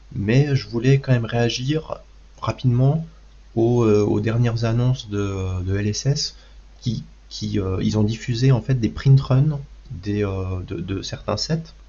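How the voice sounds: A man's fairly low voice with a dark, mellow tone, a fairly slow pace, and ordinary pitch variation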